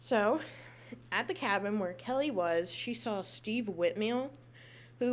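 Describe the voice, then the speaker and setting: A woman's voice, an ordinary speaking voice, with lively intonation. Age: 20s. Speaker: podcast host. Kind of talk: true crime storytelling. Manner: casual.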